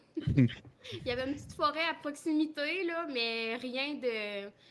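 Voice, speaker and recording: This woman's voice is high in pitch, with a bright, sharp tone. Her pitch variation is ordinary. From Quebec. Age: 20s. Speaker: dairy farmer's wife. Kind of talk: interview.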